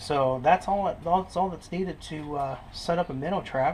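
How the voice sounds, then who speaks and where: This man's voice sits at a fairly high pitch. He talks at a moderate pace. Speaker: fishing video maker. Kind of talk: tutorial. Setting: outdoors by a creek. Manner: whispering.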